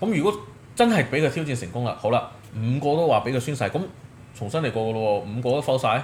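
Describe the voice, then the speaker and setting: A somewhat breathy man at a medium pitch, racing at a very fast pace with lively intonation. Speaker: podcast host. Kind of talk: casual chat.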